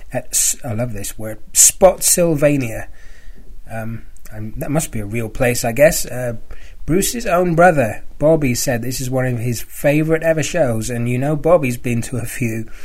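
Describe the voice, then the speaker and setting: With a British accent, a man speaks at a medium pitch and a moderate pace, using ordinary pitch variation. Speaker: fan podcast host. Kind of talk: casual podcast monologue. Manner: halting, with fillers.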